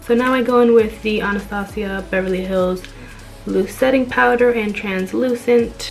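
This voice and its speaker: Faint music plays in the background as a woman speaks. Her pace is moderate and her pitch variation ordinary. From Dominican-American, New Jersey. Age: 20s. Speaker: beauty content creator. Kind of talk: makeup tutorial voiceover. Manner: casual, friendly. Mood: relaxed, friendly. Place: home room. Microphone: phone near.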